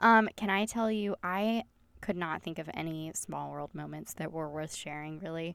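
With a Southern US accent, a woman speaks in a fairly low pitch at a moderate pace, animated in tone, with ordinary pitch variation, on a very clean recording with a silent background. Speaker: podcast host. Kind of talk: casual chat. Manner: animated, chatty.

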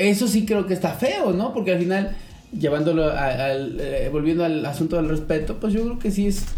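A man's high-pitched voice with a Mexican accent and lively intonation, with noticeable background noise and audible room echo. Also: moderate pace. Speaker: podcast host. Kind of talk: casual chat.

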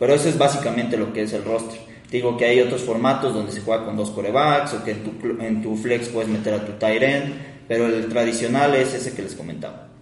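This man's medium-pitched voice moves at a fairly quick pace with fairly even intonation, with audible room echo and noticeable background noise. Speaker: podcast co-host. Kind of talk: casual chat.

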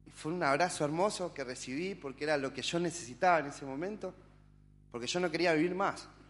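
Against a quiet background, a man speaks with a normal speaking voice. His pace is fairly quick, and his pitch variation is ordinary. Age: 30s. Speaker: church member. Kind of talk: testimony.

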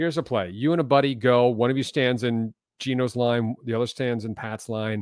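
A man with an American accent has an unremarkable speaking voice at a medium pitch. He talks at a fairly quick pace with fairly even intonation. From US Northeast, Philadelphia western suburbs. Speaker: sports broadcaster, play-by-play announcer. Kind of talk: casual chat. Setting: home closet studio, remote call. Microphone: professional voiceover mic.

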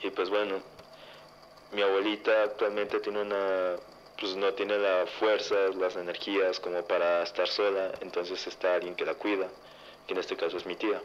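A man speaks at a moderate pace in a fairly low pitch, his intonation flat and monotone, with long, frequent pauses. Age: 20s. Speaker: listener sharing paranormal story. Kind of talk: testimony.

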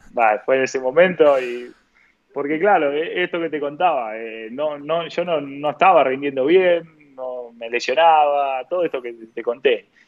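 Man with a normal speaking voice, fairly high pitch, ordinary pitch variation, and a fairly slow pace. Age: 30s. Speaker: professional footballer. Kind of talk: interview.

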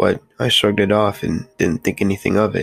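A man speaks in a panicked tone with a very deep, low pitch and fairly even intonation. Music plays in the background. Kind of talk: scary story narration. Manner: tense, urgent, hushed-to-panicked delivery; dramatic, breathless pacing.

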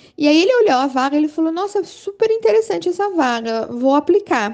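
The voice has a dark, mellow tone, very wide pitch swings and a moderate pace. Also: woman. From Brazil, Rio de Janeiro. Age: 30s. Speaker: teacher and sociologist. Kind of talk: interview. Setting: WhatsApp call.

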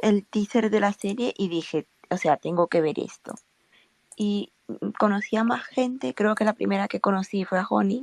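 At a moderate pace and medium pitch, a woman speaks with a Spanish accent and ordinary pitch variation, recorded dry and close with no echo. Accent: Spanish from Spain. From Spain. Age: 20s. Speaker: fan, engineering graduate. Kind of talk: casual group chat.

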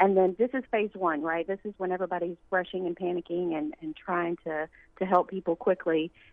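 A woman talks at a fairly quick pace in a fairly low pitch. It is an unremarkable speaking voice with fairly even intonation. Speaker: nonprofit foundation staffer. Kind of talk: interview.

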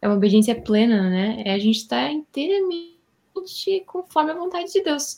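Over a silent background in a very clean recording, a woman talks at a moderate pace, her voice somewhat breathy. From Rio Grande do Sul, Brazil. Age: 20s. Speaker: Bible study guest. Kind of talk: Bible study discussion.

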